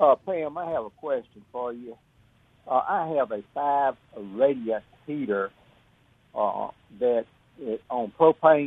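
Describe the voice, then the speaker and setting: The speech is very slow, with long, frequent pauses. Its loudness swings widely. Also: man, medium pitch for a man, ordinary pitch variation. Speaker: caller. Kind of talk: phone call-in question. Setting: phone call.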